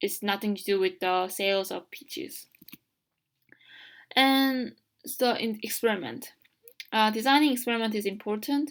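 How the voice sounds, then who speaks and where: A woman's fairly high voice with a non-native accent and lively intonation, at a moderate pace with long, frequent pauses. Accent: heavy non-native. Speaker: college student. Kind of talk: educational tutorial narration. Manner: hesitant, casual.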